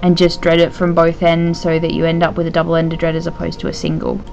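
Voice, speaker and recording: Over music in the background, a woman talks at a fairly quick pace in a flat, monotone way. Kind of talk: tutorial voice-over. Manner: hesitant, casual.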